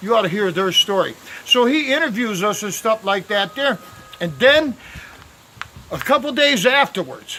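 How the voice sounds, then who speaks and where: Using a raised, projected voice at a high pitch, a man talks at a moderate pace with long, frequent pauses. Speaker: volunteer barber and video blogger. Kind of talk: casual storytelling. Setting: outdoors. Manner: loud; halting, many fillers.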